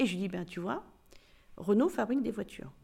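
A woman's somewhat breathy, fairly high-pitched voice, dark and mellow in tone, with very wide pitch swings. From Spain, Barcelona, then France and South America. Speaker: corporate tax director. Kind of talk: interview.

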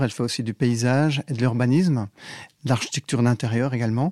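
A man speaks at a medium pitch in a plain, everyday voice with ordinary pitch variation. The recording is very clean, with a silent background. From Belgium. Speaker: architect and BIM manager. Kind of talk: interview.

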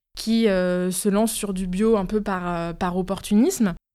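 On a very clean recording with a silent background, a woman talks in an ordinary speaking voice. Her medium pitch shows ordinary variation. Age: 30s. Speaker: marketing manager. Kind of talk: interview.

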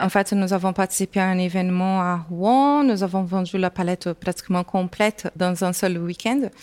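A woman's medium-pitched voice at a moderate pace, with ordinary pitch variation, hardly any pauses and very even loudness, on a very clean recording with a silent background. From Brazil. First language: Portuguese (speaking French). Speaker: entrepreneur. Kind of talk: interview. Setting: business incubator building, walking tour.

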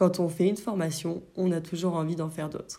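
This woman's fairly low-pitched voice has a dark, mellow tone and a monotone, flat intonation. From France, Brittany. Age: 20s. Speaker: yoga teacher and podcast host. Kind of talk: solo podcast monologue.

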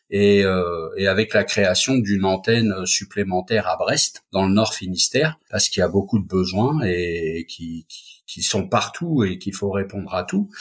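A man with an unremarkable speaking voice talks at a fairly slow pace, his fairly low pitch showing ordinary pitch variation. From Paris suburbs, France. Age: 50s. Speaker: caregiver association founder. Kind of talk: podcast interview.

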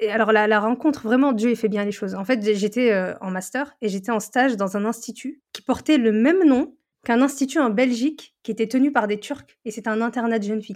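A woman's plain, everyday voice, fairly high in pitch with ordinary pitch variation, at a fairly quick pace with hardly any pauses. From northern France. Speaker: education content creator and tutor. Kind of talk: casual interview.

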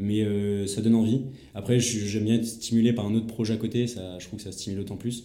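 With audible room echo, a man speaks at a fairly quick pace in a dark, mellow tone, his fairly low voice showing big swings in loudness. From France, Vendée. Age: 20s. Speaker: heritage restoration association founder. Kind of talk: interview. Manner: halting, many repetitions; animated.

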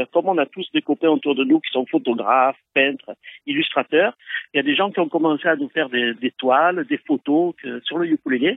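This man's voice is high in pitch and swings very widely up and down. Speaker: ukulele club founder. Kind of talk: phone interview. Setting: phone call. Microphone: phone-quality sound.

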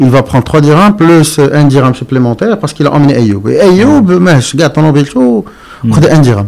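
This man's pitch sits fairly high, and his intonation is lively. His loudness is very even, with noticeable background noise behind him. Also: moderate pace. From Morocco. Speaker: entrepreneur. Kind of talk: interview. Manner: halting.

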